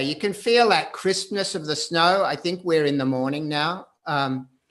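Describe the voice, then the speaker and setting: A man with an Australian accent, lively intonation and a moderate pace. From Australia, Perth. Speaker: photographer. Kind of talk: live video conversation. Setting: video call.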